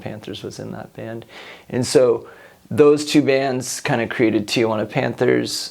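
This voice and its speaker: Noticeable noise fills the background as a man speaks in a fairly level tone. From Long Beach, California. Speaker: musician and artist. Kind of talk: interview answer. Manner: slow, deliberate; thoughtful.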